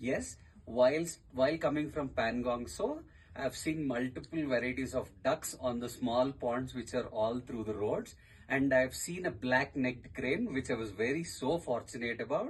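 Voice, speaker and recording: A man with an Indian accent at medium pitch, moderate pace and ordinary pitch variation. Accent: Indian English, Telugu. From southern India, Telangana (Hyderabad). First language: Telugu. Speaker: tourist and podcaster. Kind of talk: radio interview.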